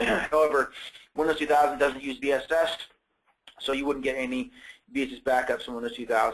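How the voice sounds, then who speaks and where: Fairly quick but broken by long, frequent pauses, a man's fairly high voice keeps a fairly even intonation. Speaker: sales engineer. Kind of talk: webinar product demo. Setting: online webinar. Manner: fast; halting, repeats words.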